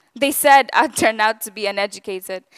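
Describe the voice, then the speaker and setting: In a Gujarati accent, a woman speaks at a moderate pace and a fairly high pitch, with a dry, close sound and no echo. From East Africa. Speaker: public speaker. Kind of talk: talk to an audience.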